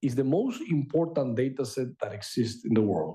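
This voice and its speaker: A man's dark, mellow, somewhat breathy voice at a moderate pace. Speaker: AI researcher and author. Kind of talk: lecture.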